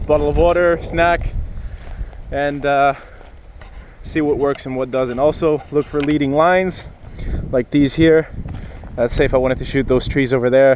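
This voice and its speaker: Noticeable background noise surrounds a man's fairly high voice. He keeps a moderate pace with long, frequent pauses. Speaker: photography vlogger. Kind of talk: outdoor vlog tutorial. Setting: outdoors on a pier. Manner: loud, shouting over weather.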